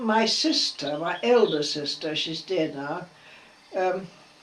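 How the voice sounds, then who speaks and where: With noticeable background noise behind her, a woman speaks very slowly at a medium pitch, her voice making very wide pitch swings. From India, then Ireland and England. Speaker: oral history interviewee. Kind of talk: oral history interview. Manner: halting.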